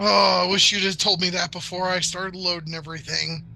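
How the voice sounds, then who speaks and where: A put-on character voice at a middle pitch and a fairly quick pace, with clear background noise. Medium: actual play. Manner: wry, self-deprecating.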